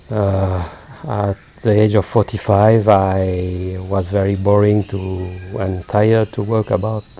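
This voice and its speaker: Over noticeable background noise, a man with a French accent speaks at a very slow pace in a fairly low, monotone, flat voice. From France. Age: 50s. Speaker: payroll accountant, Buddhist practitioner. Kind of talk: interview. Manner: halting.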